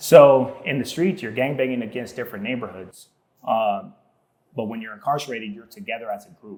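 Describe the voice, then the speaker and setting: A man with an American accent speaks at a fairly quick pace in a medium pitch, with ordinary pitch variation and big swings in loudness. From Southeast San Diego, California. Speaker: tile installer. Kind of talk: casual podcast interview. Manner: casual, slangy with many fillers.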